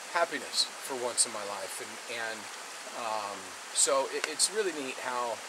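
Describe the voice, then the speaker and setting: The speaker is a man. Loud background noise runs behind him. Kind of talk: casual vlog chat. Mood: reflective, hopeful. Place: waterside. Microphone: camera far.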